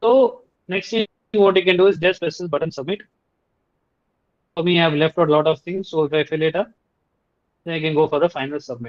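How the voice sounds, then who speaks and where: Speaking very fast yet with long, frequent pauses, a man with a Tamil accent has a high pitch and ordinary pitch variation. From India, Tamil-speaking region. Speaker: Unreal Engine instructor. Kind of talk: tutorial presentation. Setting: video call with screen sharing.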